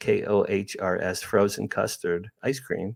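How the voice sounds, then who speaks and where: A man speaks with an American accent. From New Jersey, near Asbury Park. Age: 60s. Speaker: publicist and UFO experiencer. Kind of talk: interview conversation. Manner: animated.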